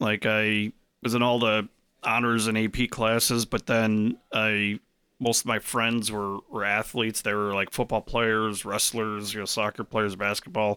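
A man speaks at a fairly slow pace in a fairly low pitch, with a bright, sharp tone, monotone intonation and very even loudness. The recording is very clean and dry, with a close sound, no echo and a silent background. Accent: Chicago. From US Midwest, Chicago suburbs (Arlington Heights). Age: 40s. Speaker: networking event organizer. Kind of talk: casual interview chat.

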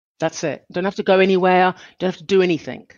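A woman speaks at a moderate pace. Her pitch sits in the medium range. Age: 50s. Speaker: mindfulness coach. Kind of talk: interview conversation.

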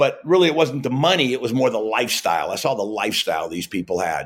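The recording is very clean with a silent background. A man speaks at a medium pitch with vocal fry. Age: 60s. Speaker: network marketing entrepreneur. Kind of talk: interview.

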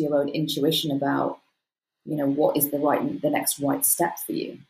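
A woman speaks in a British accent with a very deep, low pitch. Her tone is dark and mellow. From UK. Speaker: PR expert and success coach. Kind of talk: interview conversation.

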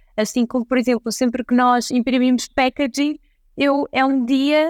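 At a moderate pace, a woman speaks with a high pitch and fairly even intonation. The recording is very clean, with a silent background and a dry, close sound with no echo. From northern Portugal, Santa Maria da Feira. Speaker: entrepreneur, chocolate company founder. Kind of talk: interview.

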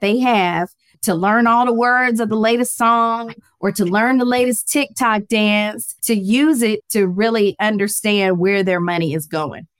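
A woman's fairly high-pitched, ordinary speaking voice, with ordinary pitch variation, a fairly slow pace, and a dry, close sound with no echo. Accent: American. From US South, Atlanta, Georgia. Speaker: finance educator and accountant. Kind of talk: interview.

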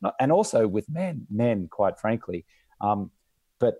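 Heard in a dry, close sound with no echo and a very clean recording with a silent background, a man with an Australian accent speaks at a moderate pace in a dark, mellow tone. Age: 40s. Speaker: entrepreneur and podcast host. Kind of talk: casual interview chat.

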